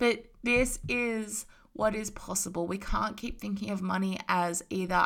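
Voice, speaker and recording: Bright, sharp, and animated, a woman speaks with an Australian accent. The recording is very clean, with a silent background. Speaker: spiritual business coach podcaster. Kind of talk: casual motivational monologue.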